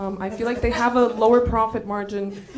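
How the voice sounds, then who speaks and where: A woman's fairly high voice comes through noticeable background noise and audible room echo. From Bulgaria. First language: Bulgarian. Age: 20s. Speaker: stand-up comedian. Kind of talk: stand-up. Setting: stage with audience.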